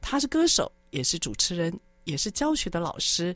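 A woman speaks at a moderate pace and a fairly low pitch, her pitch swinging very widely. The recording is very clean, with a silent background. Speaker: radio host. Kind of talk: radio interview chat. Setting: studio.

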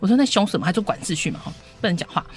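A woman is talking. Her intonation is lively. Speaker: homeschooling co-op parent. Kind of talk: radio interview.

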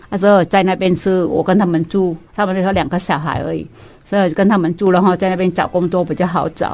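With a Vietnamese accent, a woman speaks at a very fast pace in a monotone, flat intonation. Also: medium pitch for a woman. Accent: Vietnamese-accented Mandarin. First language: Vietnamese (speaking Chinese). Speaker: guest, immigrant mother. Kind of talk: casual chat.

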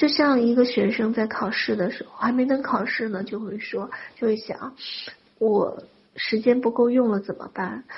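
With noticeable background noise, a woman speaks at a moderate pace and fairly high pitch, her intonation fairly even but her loudness swinging widely. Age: 40s. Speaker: spiritual wealth-manifestation teacher. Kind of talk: lecture.

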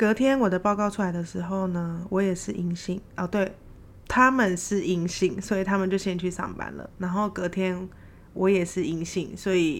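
Speaking in a plain, everyday voice, a woman talks at a moderate pace and medium pitch with fairly even intonation. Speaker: podcaster working abroad. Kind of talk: solo casual storytelling.

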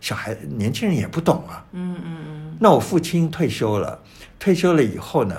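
A man speaks at medium pitch with vocal fry and very wide pitch swings. Audible room echo surrounds the voice. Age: 70s. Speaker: painter and writer. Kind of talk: interview. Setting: his painting studio.

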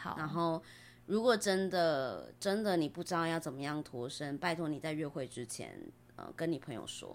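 This woman has a plain, everyday voice, pitched fairly low. She talks at a moderate pace with ordinary pitch variation. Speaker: podcaster. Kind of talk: casual chat.

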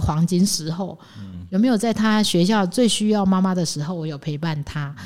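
A woman talks in an unremarkable speaking voice at a medium pitch. Her pace is fairly quick, with ordinary pitch variation. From Taiwan, Taichung. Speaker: finance executive. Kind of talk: interview.

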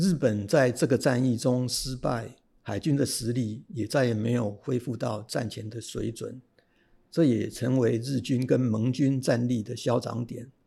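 At a fairly slow pace, a man speaks in a somewhat breathy, dark, mellow voice with a medium pitch and fairly even intonation. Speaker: retired civil servant and history writer. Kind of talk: interview storytelling.

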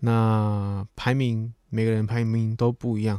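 With a Taiwanese accent and a dark, mellow tone, a man speaks at a medium pitch in a very clean, dry, close recording with no echo and a silent background. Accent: Taiwanese Mandarin. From Taiwan, Chiayi. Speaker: podcast host. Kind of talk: casual monologue.

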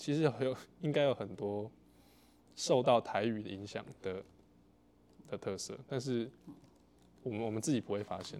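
The speaker has a dark, mellow tone and ordinary pitch variation, moving at a moderate pace with long, frequent pauses. The recording is very clean, with a silent background. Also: man, medium pitch for a man. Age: 20s. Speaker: podcast host. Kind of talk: interview.

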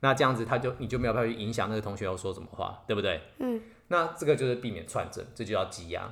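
Medium in pitch with ordinary pitch variation, a man talks at a very fast pace. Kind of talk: casual explanatory chat aimed at a child.

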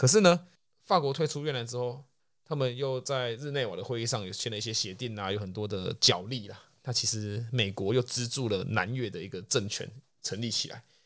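A man speaks at a fairly quick pace, medium in pitch, with ordinary pitch variation and big swings in loudness. The recording is very clean, with a silent background. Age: young. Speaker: podcast co-host. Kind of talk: casual chat.

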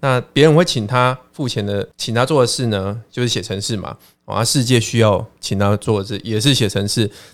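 A man with an unremarkable speaking voice talks at a medium pitch and moderate pace, with ordinary pitch variation and hardly any pauses, in a very clean recording with a silent background. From Taiwan. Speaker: education expert and professor. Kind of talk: casual interview chat.

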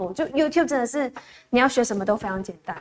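A woman talks with ordinary pitch variation. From Malaysia. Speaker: singer-songwriter. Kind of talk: interview. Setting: radio studio, live broadcast.

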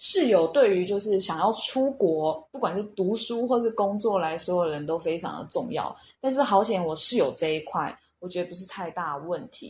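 A woman speaks at a moderate pace with lively intonation and medium pitch. It is a plain, everyday voice. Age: 30s. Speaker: language school student. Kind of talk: interview.

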